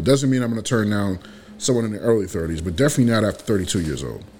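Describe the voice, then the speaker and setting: This man has a plain, everyday voice, pitched fairly low. His pitch varies in an ordinary way. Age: 40s. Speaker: podcast co-host. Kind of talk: casual chat.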